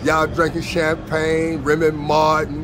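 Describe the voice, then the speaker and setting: Music plays in the background as a man with a fairly high pitch talks at a fairly slow pace. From Chicago. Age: 60s. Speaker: former pimp. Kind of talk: casual interview answer, street slang.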